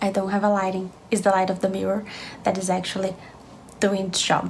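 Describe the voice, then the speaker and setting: A woman is speaking while noticeable noise carries on behind her. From Brazil. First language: Portuguese. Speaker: beauty vlogger. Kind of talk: makeup tutorial.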